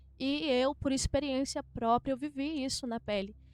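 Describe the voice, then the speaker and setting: A high-pitched woman's voice at a fairly slow pace, with fairly even intonation. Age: 20s. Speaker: pastor's wife. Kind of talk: testimony.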